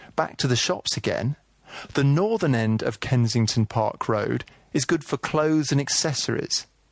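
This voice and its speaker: With a southern English accent, a man speaks at a fairly high pitch and with lively intonation. His loudness stays very even against a quiet background. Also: moderate pace. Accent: southern English (British). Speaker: audio tour guide narrator. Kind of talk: scripted audio walking-tour narration, second-person shopping directions. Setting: studio recording. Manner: breezy, lightly wry travel-guide delivery; clear, steady, informative pacing.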